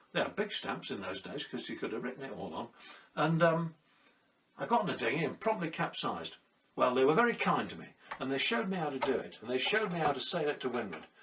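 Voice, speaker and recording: A man's fairly high voice in a southern British accent, very fast, with very wide pitch swings and noticeable background noise. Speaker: sailor and storyteller. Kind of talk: personal storytelling monologue. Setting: at home during lockdown.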